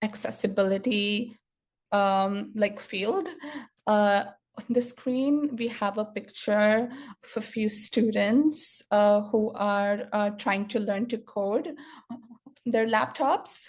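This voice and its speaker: A woman's fairly high, somewhat breathy voice at a very slow pace, with ordinary pitch variation. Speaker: software engineer and stuttering advocate. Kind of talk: conference talk. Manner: stuttered speech with repetitions and fillers.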